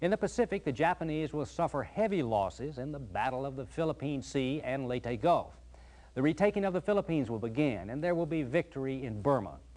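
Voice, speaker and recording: At a fairly quick pace, a man with a fairly high pitch uses lively intonation in an unremarkable speaking voice. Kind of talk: documentary narration.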